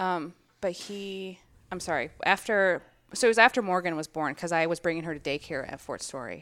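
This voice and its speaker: In a very clean recording with a silent background, a woman with an American accent speaks at a fairly quick pace and a fairly low pitch, with ordinary pitch variation and big swings in loudness. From Minnesota. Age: 30s. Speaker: gym member, Navy veteran and nurse. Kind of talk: casual interview.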